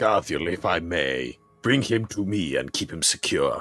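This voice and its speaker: Over faint background music, a man uses a put-on character voice at a fairly low pitch and a moderate pace. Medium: actual play.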